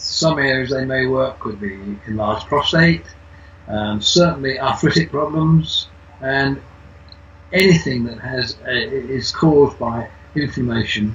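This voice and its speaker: Noticeable background noise sits behind a man speaking at a medium pitch and a fairly slow pace. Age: 80s+. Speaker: testimonial giver, retired businessman. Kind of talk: testimony. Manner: halting, repeats words.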